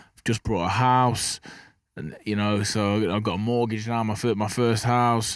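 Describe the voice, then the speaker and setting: This man speaks with an English Midlands accent in a monotone, flat intonation. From English Midlands, Burton-on-Trent. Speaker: professional boxer. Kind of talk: podcast interview. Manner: fast, some stutter.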